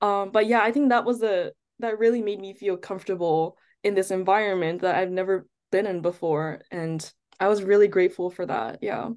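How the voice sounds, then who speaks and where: Against a quiet background, a woman with an American accent talks at a fairly quick pace in an unremarkable speaking voice. Her pitch is medium with ordinary pitch variation. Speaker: chemistry student, former research intern. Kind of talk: interview.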